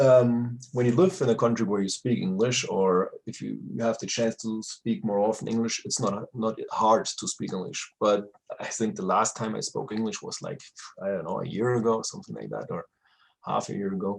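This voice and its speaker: This man speaks with a German accent. His pitch is medium. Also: ordinary pitch variation, moderate pace. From Germany. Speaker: retired pro wrestler. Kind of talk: interview. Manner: halting, searching for words.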